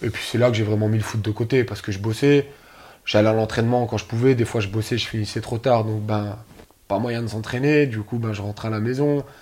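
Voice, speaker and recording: A man with an unremarkable speaking voice, medium pitch, fairly even intonation and a fairly quick pace. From Moselle, northeastern France. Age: 20s. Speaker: amateur footballer. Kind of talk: casual interview.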